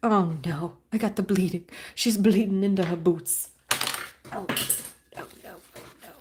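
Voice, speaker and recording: A somewhat breathy woman talks at a fairly slow pace, leaving long, frequent pauses. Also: medium pitch for a woman. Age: 30s. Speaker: artist streaming a live painting session. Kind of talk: casual live-stream chat while painting. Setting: live stream at home desk. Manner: halting, self-interrupting.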